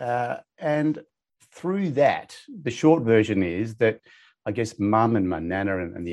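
Against a quiet background, a man with an Australian accent speaks with lively intonation. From Perth, Western Australia. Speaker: financial coach and author. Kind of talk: interview. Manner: halting, with many repetitions.

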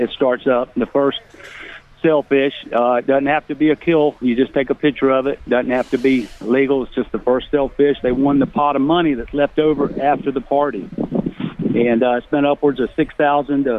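Noticeable background noise sits behind the speech. The intonation is fairly even and the pace moderate. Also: man, fairly high pitch for a man. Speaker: caller. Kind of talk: casual chat. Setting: phone call.

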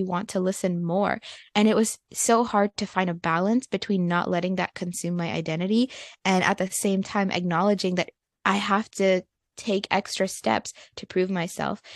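A woman at a medium pitch speaks in an ordinary speaking voice, with fairly even intonation at a moderate pace. The sound is dry and close with no echo, over a quiet background. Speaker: university student advocate. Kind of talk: casual interview conversation.

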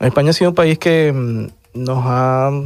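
A man with a Venezuelan accent, medium pitch and fairly even intonation. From Venezuela (Caracas). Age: 30s. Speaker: asylum seeker, lawyer. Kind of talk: testimony.

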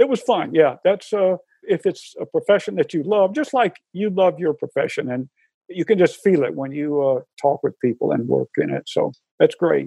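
A man speaking at a moderate pace in a Southern US accent. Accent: Southern American. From US South, Atlanta, Georgia. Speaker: retired engineering professor. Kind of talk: casual interview.

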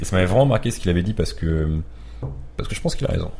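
A man races along at a very fast pace with a very deep, low pitch and lively intonation. His tone is dark and mellow, and somewhat breathy. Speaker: YouTuber and photographer. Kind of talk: casual chat.

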